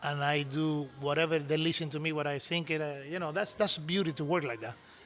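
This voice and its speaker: Here a man with a Cuban accent talks at a fairly quick pace. His voice is fairly high, with fairly even intonation. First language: Spanish. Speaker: cigar maker and business owner. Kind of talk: interview storytelling. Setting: in-person sit-down interview.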